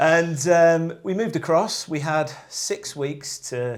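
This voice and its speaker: A man talks with an English accent. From northern England, Lake District. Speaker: outdoor brand sales rep. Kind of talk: casual podcast interview.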